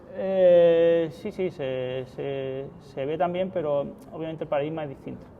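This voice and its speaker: With an Andalusian accent, the speaker talks at a fairly slow pace with ordinary pitch variation. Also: man, fairly high pitch for a man. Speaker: software security engineer. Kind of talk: conference talk with live demo.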